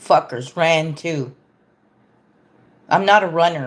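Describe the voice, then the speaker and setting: A woman speaks with an American accent in an animated tone. Her fairly low voice shows ordinary pitch variation. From Texas. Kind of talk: political rant on livestream.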